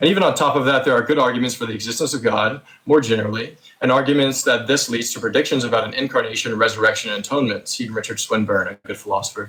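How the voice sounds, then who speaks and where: This man talks at a very fast pace with a medium-pitched voice and ordinary pitch variation. Noticeable background noise runs behind him. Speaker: theist debater. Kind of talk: debate opening statement. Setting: voice chat.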